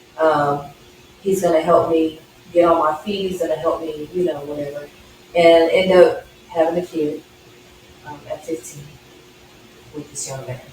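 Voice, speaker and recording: A woman with an American accent speaks at a moderate pace, her fairly low voice rising and falling sharply in loudness. Her intonation stays fairly even, with long, frequent pauses over noticeable background noise. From Dallas, Texas. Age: 40s. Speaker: guest sharing faith testimony. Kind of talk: testimony; interview.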